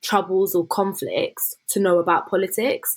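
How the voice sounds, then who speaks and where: A woman with a southern English accent, medium pitch and fairly even intonation at a moderate pace, in a very clean recording with a silent background. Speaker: law student and former youth MP. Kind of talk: interview conversation.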